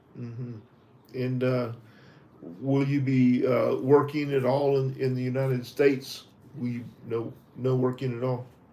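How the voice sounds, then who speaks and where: A man with a Southern US accent speaks at a fairly slow pace with monotone, flat intonation and long, frequent pauses. Audible room echo surrounds his voice. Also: medium pitch for a man. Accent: Southern American. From US South, Tennessee. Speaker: visa interview trainer. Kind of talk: mock visa interview. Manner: halting.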